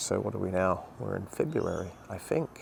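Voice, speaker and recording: A man speaks with an Australian accent. His voice is quiet. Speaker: gardening youtuber. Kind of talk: casual vlog walkthrough. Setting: outdoors in garden, early morning. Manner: rambling, conversational.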